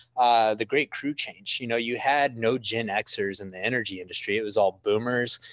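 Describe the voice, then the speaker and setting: A man with a West Texas accent speaks at a medium pitch. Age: 30s. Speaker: oil and gas media entrepreneur. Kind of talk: casual chat.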